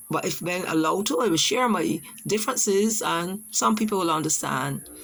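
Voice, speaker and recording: A woman in a Barbadian accent, with vocal fry, lively intonation and a fairly quick pace. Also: medium pitch for a woman. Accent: Barbadian (Bajan). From Barbados. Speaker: teacher. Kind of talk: personal testimony presentation. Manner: halting.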